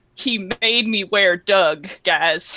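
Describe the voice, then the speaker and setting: A female-sounding put-on character voice pitched in the medium range for a woman. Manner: imitation of the leader's voice.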